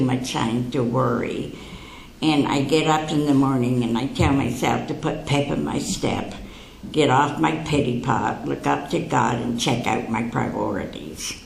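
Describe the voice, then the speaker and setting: A woman speaks at a fairly slow pace in a very deep, low voice with ordinary pitch variation, over noticeable background noise and audible room echo. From Canada (London, Ontario). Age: 80s+. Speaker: psychic speaker. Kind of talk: talk to an audience. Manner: conversational, anecdotal with humor.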